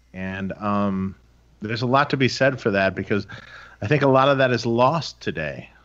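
Speaking at a moderate pace with an American accent, a man has a plain, everyday voice of medium pitch with ordinary pitch variation, against a quiet background. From Detroit, US Midwest. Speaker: amp builder and podcast co-host. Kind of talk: casual chat. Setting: video call.

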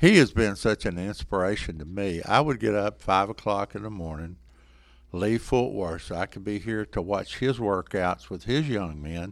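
In a very clean recording with a silent background, a man with a Texan accent speaks at a moderate pace in a fairly low pitch, with ordinary pitch variation and big swings in loudness. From Texas, small town (Sanger). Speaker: college basketball coach. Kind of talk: interview.

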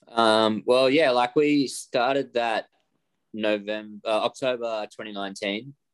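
A man talks at a very slow pace in an Australian accent with fairly even intonation. The sound is dry and close, with no echo. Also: medium pitch for a man. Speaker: rock guitarist. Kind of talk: casual interview chat.

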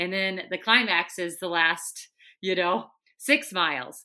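In a strong Minnesotan accent, the speaker talks at a fairly slow pace with a bright, sharp tone on a very clean recording with a silent background. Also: woman. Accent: thick Minnesotan. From Minnesota, US. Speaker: Olympian runner and broadcaster. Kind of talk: interview, casual chat.

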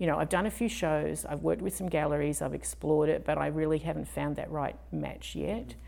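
A woman with an Australian accent speaks with hardly any pauses. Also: fairly quick pace. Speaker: fluid artist. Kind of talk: interview.

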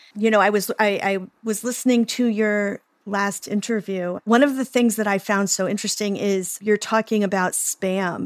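An ordinary speaking voice from a woman with an American accent, medium in pitch, fairly even in intonation, at a moderate pace, dry and close with no echo. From Oklahoma, US. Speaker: psychotherapist and podcast host. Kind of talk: interview conversation.

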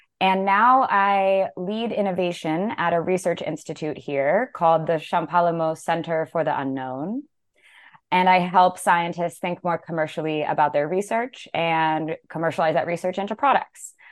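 Here a woman is talking at a moderate pace. Her pitch shows ordinary variation. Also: fairly low pitch for a woman. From US West, Las Vegas. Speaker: scientist and entrepreneur. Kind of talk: interview.

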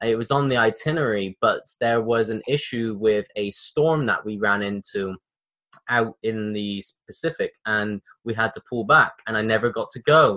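Recorded with a dry, close sound with no echo, a man with a British accent speaks at medium pitch and a moderate pace in a bright, sharp tone. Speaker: podcast host. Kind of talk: casual interview. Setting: video call. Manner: animated, casual.

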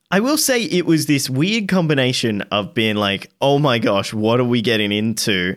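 A man with an unremarkable speaking voice at a medium pitch uses lively intonation on a very clean recording with a silent background. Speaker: podcast host. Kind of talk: casual chat.

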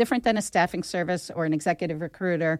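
A woman with an American accent and a normal speaking voice talks at a fairly low pitch with ordinary pitch variation, in a dry, close sound with no echo on a very clean recording with a silent background. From Philadelphia (Northeast Philadelphia). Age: 50s. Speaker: business owner, HR company CEO. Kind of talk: interview.

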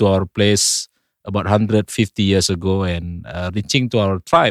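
A man speaks at a moderate pace with an Indonesian accent. The sound is dry and close, with no echo. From North Sumatra, Indonesia. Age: 40s. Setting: studio. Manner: somewhat halting, careful with English.

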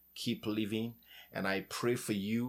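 A man talks at a moderate pace in a fairly low pitch, his tone warm but his intonation flat and monotone. The recording is very clean, with a silent background. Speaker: podcast host. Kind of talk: encouraging talk ending in fervent prayer. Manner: earnest, warm, fervent; heartfelt, pleading.

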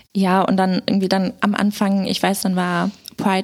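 The voice belongs to a woman at a medium pitch. It sounds somewhat breathy. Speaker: podcast guest co-host. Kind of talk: casual chat.

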